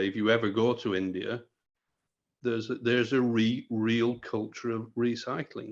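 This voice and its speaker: A man talks with a British accent against a quiet background. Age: 60s. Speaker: textile industry expert. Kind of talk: panel discussion.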